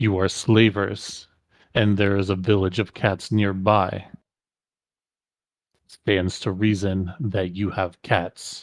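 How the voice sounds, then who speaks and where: In a very clean recording with a silent background, a man uses a put-on character voice, fairly low in pitch, at a fairly slow pace with long, frequent pauses. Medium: actual play. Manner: imperious, dismissive.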